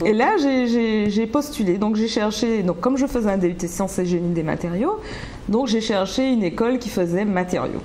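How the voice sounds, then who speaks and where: A woman speaks at a moderate pace and a fairly high pitch, with very even loudness and ordinary pitch variation. Audible room echo and noticeable background noise are present. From Martinique, Rivière-Pilote. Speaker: business manager. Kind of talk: interview. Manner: halting, many hesitations.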